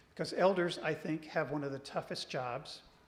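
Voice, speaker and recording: Audible room echo surrounds a man speaking at a moderate pace with a fairly high pitch. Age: 60s. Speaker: regional church minister. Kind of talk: church presentation.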